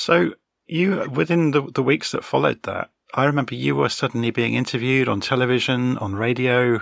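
At a fairly quick pace, a man with a British accent speaks at a medium pitch with ordinary pitch variation. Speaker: podcast host. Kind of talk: interview, casual chat.

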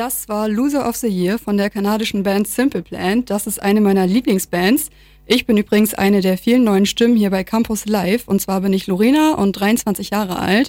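A woman with a dark, mellow tone and medium pitch speaks at a moderate pace with ordinary pitch variation and hardly any pauses, on a very clean recording with a silent background. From Lower Saxony, Vechta district. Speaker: student radio presenter. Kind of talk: radio presenting.

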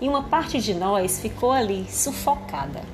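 A woman speaks at a medium pitch with lively intonation in a Cearense accent. Music plays in the background. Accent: Cearense (Northeast Brazilian). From Ceará, Brazil. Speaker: podcast host, chronicle writer. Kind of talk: reading aloud her own chronicle.

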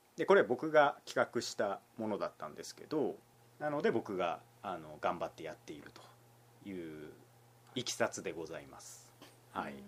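At a moderate pace, a man talks with big swings in loudness and long, frequent pauses. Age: 30s. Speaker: newspaper reporter and podcast host. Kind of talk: casual chat.

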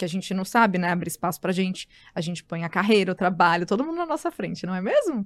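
This woman talks very fast. Her pitch sits at a medium level. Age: 30s. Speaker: journalist and wellness entrepreneur. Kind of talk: casual chat.

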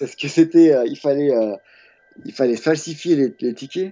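A man speaks at a moderate pace. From France. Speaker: graffiti artist. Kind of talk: interview. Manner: halting, many hesitations and repetitions.

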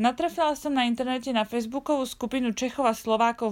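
In a very clean recording with a silent background, a woman uses an ordinary speaking voice at a moderate pace with ordinary pitch variation. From Slovakia. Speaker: travel podcaster. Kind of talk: personal storytelling monologue.

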